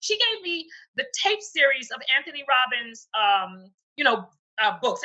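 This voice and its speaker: Moderately paced speech in a raised, projected voice, bright and sharp in tone. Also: woman. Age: 60s. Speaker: speaker and coloring book author. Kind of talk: interview. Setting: video call.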